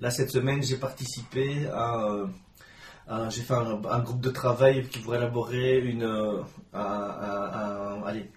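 A man speaks in a medium pitch with monotone, flat intonation, and noticeable background noise is present. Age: 30s. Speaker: journalist and blogger. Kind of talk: interview. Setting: host's home.

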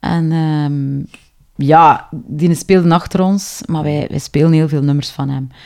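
Very slow in pace, a woman speaks at a very deep, low pitch with a dark, mellow tone and fairly even intonation. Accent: Flemish. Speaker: singer. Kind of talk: interview.

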